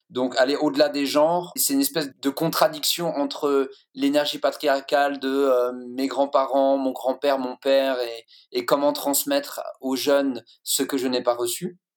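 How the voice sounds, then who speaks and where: Fairly high-pitched for a man, this speaker talks at a fairly slow pace in a monotone, flat intonation. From France, Lorraine-Alsace. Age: 40s. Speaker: guest from men's groups. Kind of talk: group discussion.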